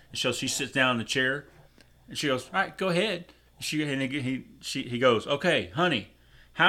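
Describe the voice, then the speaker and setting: A man's fairly high voice, bright and sharp in tone, at a fairly quick pace on a very clean recording with a silent background. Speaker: co-host. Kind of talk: casual chat.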